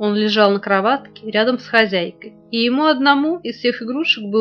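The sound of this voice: Reading in an unforced voice.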